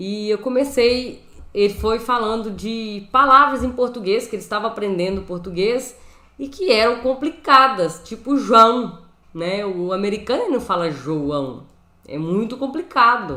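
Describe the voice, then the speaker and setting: A woman with a strong mineiro accent talks at a fairly slow pace in a bright, sharp tone, using lively intonation at a fairly high pitch. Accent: Brazilian mineiro accent, strong. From Brazil, Minas Gerais. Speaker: Bible and Hebrew teacher. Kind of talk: live teaching stream. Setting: live stream from home room. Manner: casual, conversational. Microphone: new microphone.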